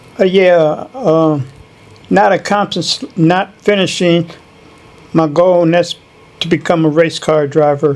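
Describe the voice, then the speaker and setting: A man's high-pitched voice in a Chicago accent, at a fairly slow pace with long, frequent pauses and ordinary pitch variation. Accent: Chicago American. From Chicago, North Side. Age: 60s. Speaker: interviewee. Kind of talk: interview. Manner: brief answers.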